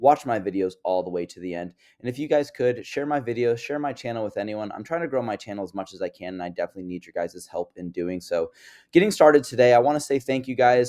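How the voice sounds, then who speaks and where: A man with an American accent and a dark, mellow tone, talking at a very fast pace on a very clean recording with a silent background. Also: medium pitch for a man, lively intonation, big swings in loudness. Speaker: crypto investing YouTuber. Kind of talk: casual market update monologue.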